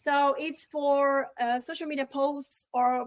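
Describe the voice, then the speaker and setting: Someone with a Brazilian accent speaks at a very slow pace with ordinary pitch variation. The sound is dry and close, with no echo. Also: woman. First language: Portuguese. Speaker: real estate marketing trainer. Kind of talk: online training webinar. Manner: halting, with repetitions.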